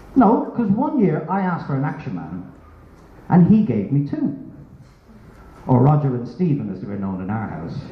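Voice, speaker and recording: With an Irish accent, a man speaks at a moderate pace in a fairly high voice with very wide pitch swings and long, frequent pauses, amid audible room echo and noticeable background noise. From Ireland. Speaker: stand-up comedian. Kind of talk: stand-up. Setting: stage with audience.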